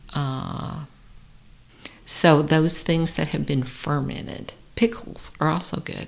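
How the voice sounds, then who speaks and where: A woman speaks very slowly in a very deep, low voice with ordinary pitch variation, leaving long, frequent pauses. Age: 50s. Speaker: licensed therapist. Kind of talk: interview. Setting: studio.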